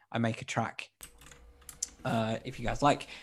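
A man with an English accent talks at a moderate pace with fairly even intonation. The recording is very clean, with a silent background. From England, born in Colombia. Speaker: pianist. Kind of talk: music production tutorial.

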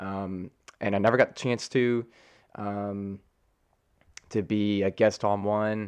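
In an American accent, a man with a fairly low pitch talks at a very slow pace in a monotone, flat intonation, with long, frequent pauses. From Colorado. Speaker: podcast host. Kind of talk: solo casual talk. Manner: casual, many fillers.

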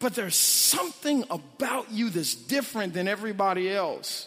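The voice carries an animated tone and lively intonation. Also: man. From St. Louis, Missouri (North St. Louis). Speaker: pastor. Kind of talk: sermon.

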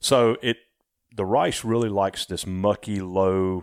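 A man speaks with a Southern US accent in a very deep, low voice at a fairly slow pace. The sound is dry and close, with no echo. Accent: Southern US drawl. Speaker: rice farmer and former racing engineer. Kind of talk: casual interview conversation.

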